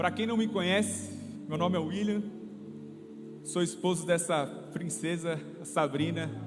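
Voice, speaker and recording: In a São Paulo interior accent, a man speaks at a high pitch and a fairly slow pace with long, frequent pauses, amid noticeable background noise and audible room echo. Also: lively intonation. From interior of São Paulo state, Brazil (São José dos Campos). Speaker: lay preacher, ministry leader. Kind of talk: sermon. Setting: church service.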